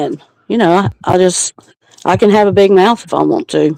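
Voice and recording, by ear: A woman's fairly low voice has a dark, mellow tone that is also clear and smooth, recorded with a dry, close sound and no echo.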